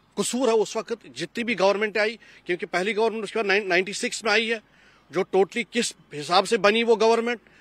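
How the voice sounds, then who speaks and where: In a dry sound with no echo, a man talks at a high pitch with fairly even intonation. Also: moderate pace. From Kashmir. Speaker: Kashmiri Pandit community member; interviewee. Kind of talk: panel discussion. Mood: aggrieved, impassioned. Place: garden. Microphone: handheld.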